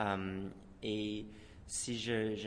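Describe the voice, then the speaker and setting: A man with a fairly low voice and an English accent, with audible room echo. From Moncton, New Brunswick. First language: English (speaking French). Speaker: dancer and choreographer. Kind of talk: radio interview. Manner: halting, many repetitions.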